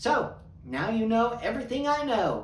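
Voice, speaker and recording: Talking at a moderate pace, a man is heard through audible room echo and noticeable background noise. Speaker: podcast host. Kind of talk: casual monologue.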